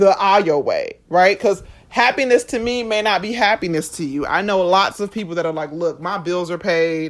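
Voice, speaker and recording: On a very clean recording with a silent background, a woman speaks in a plain, everyday voice at a medium pitch and moderate pace, with ordinary pitch variation and hardly any pauses. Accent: American. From USA, Jamaican family. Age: 30s. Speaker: podcast host. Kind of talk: podcast monologue. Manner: conversational.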